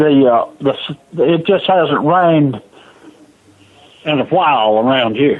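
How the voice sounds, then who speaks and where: Fairly slow speech in a Southern US accent, with ordinary pitch variation and long, frequent pauses. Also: man, fairly high pitch for a man. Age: 70s. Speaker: retiree selling signs. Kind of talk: phone conversation. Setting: phone call.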